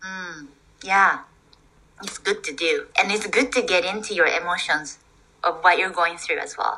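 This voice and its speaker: A woman speaks at a moderate pace and a medium pitch with a Japanese accent. Her speech has long, frequent pauses. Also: ordinary pitch variation, big swings in loudness. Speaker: osteopath and artist. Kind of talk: casual chat. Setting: video call.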